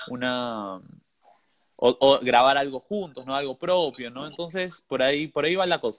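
A man with a Peruvian accent speaks at a fairly high pitch. His loudness swings widely. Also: ordinary pitch variation, moderate pace. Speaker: musician. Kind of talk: casual chat.

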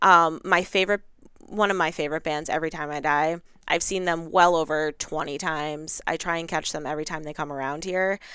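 In a very clean recording with a silent background, a woman with a very deep, low pitch speaks at a fairly quick pace in a bright, sharp tone with fairly even intonation. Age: 30s. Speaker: music fan. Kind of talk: casual chat.

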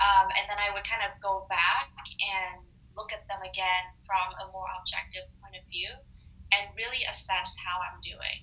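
In a normal speaking voice, a woman speaks at a moderate pace and medium pitch, with fairly even intonation and big swings in loudness. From Canada. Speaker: meditation practitioner. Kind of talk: casual chat. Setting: video call.

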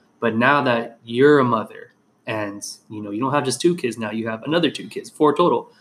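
A man talks at a fairly quick pace with ordinary pitch variation and big swings in loudness. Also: medium pitch for a man. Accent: Southern Californian. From Whittier, California. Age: 20s. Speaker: podcast host and therapist. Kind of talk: casual interview chat.

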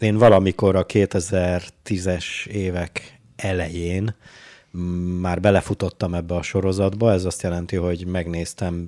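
Over a very clean recording with a silent background, a man speaks in a dark, mellow tone at a very deep, low pitch. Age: 30s. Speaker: podcast co-host. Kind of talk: casual chat. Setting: studio.

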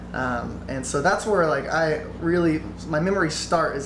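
A man talks over noticeable background noise, with audible echo in the room. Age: 20s. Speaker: bluegrass musician. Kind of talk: casual interview chat.

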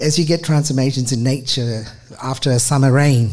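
A somewhat breathy man at a moderate pace with fairly even intonation and audible room echo. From Australia, Adelaide. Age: 50s. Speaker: charity manager and former lawyer. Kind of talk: storytelling talk. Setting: stage with audience.

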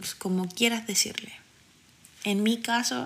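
A woman speaks at a moderate pace with a Chilean accent. Her intonation is monotone and flat. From Chile, Santiago (Quinta Normal). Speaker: podcast host. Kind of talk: solo podcast monologue. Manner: casual, frequent fillers.

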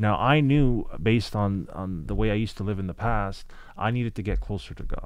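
Room echo can be heard. The talking proceeds at a fairly quick pace. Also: man, fairly low pitch for a man, ordinary pitch variation. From Lebanon. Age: 30s. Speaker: former prisoner. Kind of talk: casual chat.

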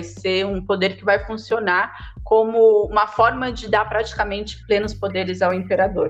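A woman is speaking. Her pace is moderate. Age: 30s. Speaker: historian and geography graduate. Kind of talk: podcast interview.

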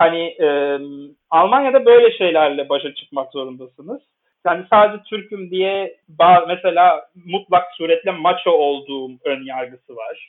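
A man talks at a high pitch and a fairly slow pace. His intonation is lively, with big swings in loudness. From Istanbul, Turkey. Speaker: journalist. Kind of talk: interview.

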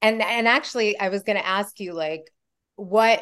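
Against a quiet background, a woman with a plain, everyday voice talks fairly slowly with ordinary pitch variation. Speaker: podcast host. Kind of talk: conversational interview. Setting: video call.

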